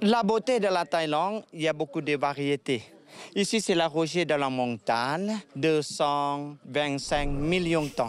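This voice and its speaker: Speaking very slowly with lively intonation, a man with a Thai accent has a fairly high pitch. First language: Thai (speaking French). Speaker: tour guide. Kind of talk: interview. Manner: halting.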